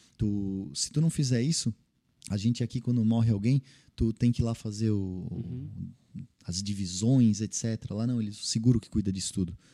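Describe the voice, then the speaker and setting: The voice has a dark, mellow tone and ordinary pitch variation at a moderate pace, with a dry, close sound and no echo. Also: man. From Santa Catarina, Brazil (Vale do Itajaí). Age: young. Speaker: tech entrepreneur. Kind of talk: interview conversation.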